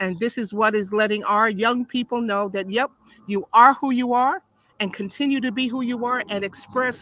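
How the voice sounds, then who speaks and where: A woman talks at a fairly high pitch and moderate pace, with ordinary pitch variation. Her tone is animated, bright and sharp. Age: 70s. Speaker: pastor. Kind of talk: video call interview. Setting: live video stream. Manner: halting.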